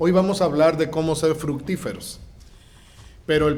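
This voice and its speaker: A man talks at a fairly high pitch with fairly even intonation and a moderate pace. Room echo can be heard. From Mexico. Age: 60s. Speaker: guest pastor. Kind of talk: sermon.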